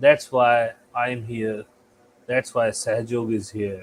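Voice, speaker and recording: A somewhat breathy man speaks at a very slow pace. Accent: Indian. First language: Hindi. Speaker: spiritual channel host. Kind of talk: spiritual talk. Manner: halting.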